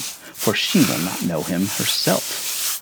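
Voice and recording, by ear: Putting on a character voice, a man talks slowly in a low pitch with vocal fry, a fairly bright tone and big pitch swings, over faint background noise.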